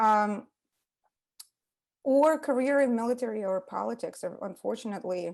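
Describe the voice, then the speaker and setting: In a Russian accent, a woman with a fairly high voice talks at a moderate pace with ordinary pitch variation. She pauses long and often against a quiet background. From Ukraine, Russian-speaking part. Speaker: psychotherapist. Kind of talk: casual interview.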